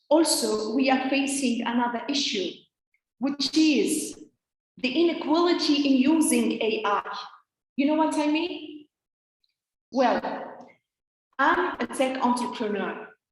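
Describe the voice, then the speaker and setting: A woman with a high voice speaks at a fairly slow pace, her pitch rising and falling in an ordinary way, with long, frequent pauses and audible room echo. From Tunisia. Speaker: think tank founder and speaker. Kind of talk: conference talk. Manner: hesitant, many fillers.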